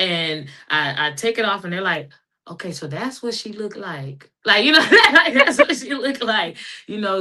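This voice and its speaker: A woman with an American accent talks at a fairly quick pace in a bright, sharp tone. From Texas, Dallas. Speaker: women's football player. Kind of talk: interview.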